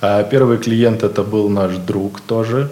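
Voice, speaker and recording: A man is talking. Noticeable noise can be heard behind him. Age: 20s. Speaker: IT company founder. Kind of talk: interview. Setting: studio.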